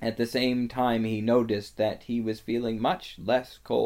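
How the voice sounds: This is a natural reading voice.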